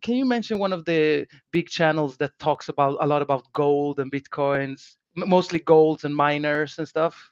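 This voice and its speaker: Here a man with a Swedish accent talks at a moderate pace with a fairly high pitch and ordinary variation. The sound is dry and close, with no echo. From Sweden, Gothenburg. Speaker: financial advisor. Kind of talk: casual interview.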